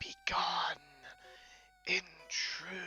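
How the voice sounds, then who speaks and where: Someone whispers in a put-on character voice with clear music in the background. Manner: spooky, theatrical.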